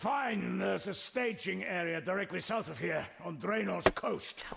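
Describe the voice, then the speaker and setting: A man puts on a raspy character voice. He speaks at a fairly slow pace over light background noise. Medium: virtual streamer. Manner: defiant, boastful.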